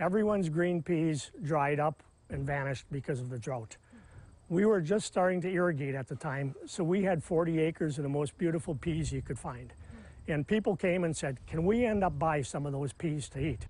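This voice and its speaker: In a Wisconsin accent, a man with a fairly high pitch talks at a moderate pace with ordinary pitch variation, the sound dry with no echo. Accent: Upper Midwest (Wisconsin). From Wisconsin, Manitowoc County. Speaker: farmer. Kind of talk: interview. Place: farm. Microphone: lapel.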